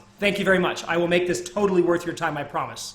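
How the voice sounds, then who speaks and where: Audible room echo and noticeable background noise surround the speech. The delivery is very fast with an energetic tone. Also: man. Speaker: ecommerce speaker. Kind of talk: presentation to audience; sales pitch.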